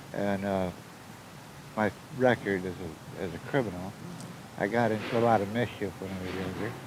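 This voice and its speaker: A man's fairly low voice with fairly even intonation, a moderate pace, long and frequent pauses, and audible room echo. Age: 60s. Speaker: homeless shelter client. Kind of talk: casual interview chat.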